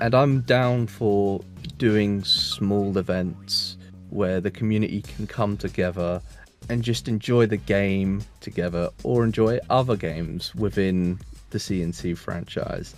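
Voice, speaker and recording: A man speaks with a British accent at a fairly low pitch. His pace is fairly slow. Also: ordinary pitch variation. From UK. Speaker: gaming community manager. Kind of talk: casual self-introduction.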